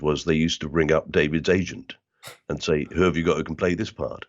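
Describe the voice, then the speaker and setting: A man's very deep, low voice with vocal fry. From South London (Bermondsey). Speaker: actor and comedian. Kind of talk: interview conversation. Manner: tends to mimic the accent of whoever he talks to.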